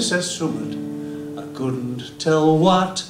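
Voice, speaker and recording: Here a man talks at a very slow pace in a Yorkshire accent. Noticeable background noise runs underneath. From Yorkshire, England. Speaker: singer-guitarist. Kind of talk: dialect poetry reading. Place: stage.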